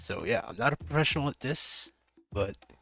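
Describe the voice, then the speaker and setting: Music plays behind a man speaking at a fairly quick pace. His intonation is lively. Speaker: gaming YouTuber. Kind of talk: casual commentary video. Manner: informal with filler words and restarts.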